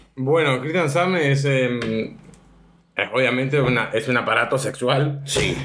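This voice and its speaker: At a very slow pace and medium pitch, a man speaks with fairly even intonation and very even loudness, with audible room echo. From Argentina, Mendoza. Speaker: adult film actor. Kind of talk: interview answers.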